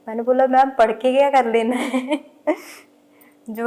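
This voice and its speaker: A woman with a high pitch and monotone, flat intonation, with noticeable background noise. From Punjab, India. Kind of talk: interview answer. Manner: casual, conversational.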